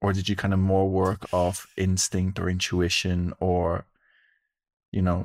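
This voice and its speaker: With an Irish accent, a speaker talks at a fairly slow pace in monotone, flat intonation and very even loudness on a very clean recording with a silent background. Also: man, very deep, low pitch for a man. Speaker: podcast host, breathwork practitioner. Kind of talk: casual chat.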